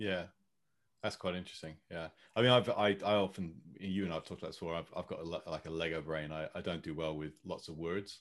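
A very deep, low-voiced man with a British accent, talking very fast with fairly even intonation. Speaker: podcast host. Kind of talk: casual chat. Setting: video call.

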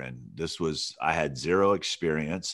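Here a man speaks with ordinary pitch variation. The recording is very clean, with a silent background. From Alabama. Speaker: music industry coach, former radio host and artist manager. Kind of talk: interview.

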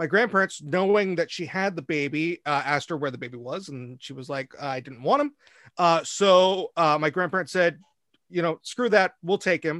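A man speaks in an American accent at a moderate pace. His pitch is high, with ordinary variation. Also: big swings in loudness, dry, close sound with no echo, very clean recording, silent background. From US Pacific Northwest. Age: 40s. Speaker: stage actor and singer. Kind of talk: casual interview. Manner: halting, many fillers.

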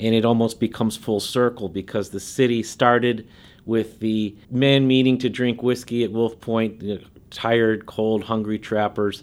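A man with an American accent talks at a medium pitch and a moderate pace. His intonation is monotone and flat. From Chicago. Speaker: local historian and author. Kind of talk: interview.

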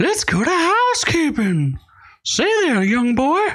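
A woman's put-on character voice, high-pitched and fairly slow, with very wide pitch swings. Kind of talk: dated, theatrical. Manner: jokey, flirtatious.

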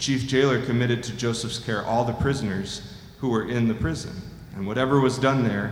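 A man with a mid-range voice and fairly level intonation talks rather briskly while clearly audible noise sits in the background. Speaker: scripture reader. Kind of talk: reading aloud.

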